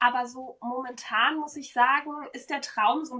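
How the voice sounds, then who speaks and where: A woman's high-pitched voice comes through with noticeable noise behind it. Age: 20s. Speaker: podcast host and sleep consultant. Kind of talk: casual chat.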